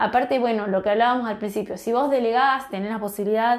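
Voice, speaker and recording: A woman speaks with a Rioplatense accent and ordinary pitch variation. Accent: Argentine Rioplatense Spanish. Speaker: natural cosmetics business founder and podcast host. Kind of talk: informal solo podcast advice talk. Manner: warm, encouraging.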